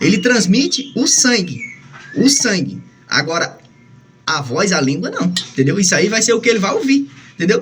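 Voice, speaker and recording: Over noticeable background noise, a man talks in a high pitch with very wide pitch swings. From Northeast Brazil. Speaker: songbird breeder. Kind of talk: casual monologue. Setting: indoors, bird room at home. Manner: fast.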